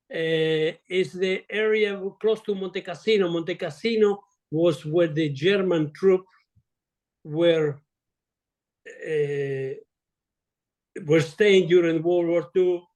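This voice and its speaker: A man with an Italian accent speaks at a very slow pace in a high pitch, his intonation fairly even and his speech broken by long, frequent pauses. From Italy. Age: 80s+. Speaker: retired surgeon. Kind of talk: interview. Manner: halting.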